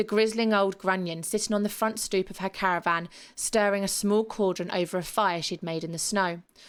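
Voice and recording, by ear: A natural voice reads aloud, keeping the intonation fairly even.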